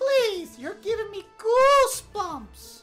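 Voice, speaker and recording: Put-on character voice from a woman, extremely high in pitch and very slow, with faint music in the background. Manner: voice changed for the role.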